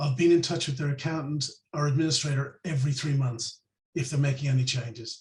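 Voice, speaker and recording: A man speaks fairly quickly in an Irish accent. His voice is fairly high, somewhat breathy and flat in intonation. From Ireland. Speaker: financial planner. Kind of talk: interview.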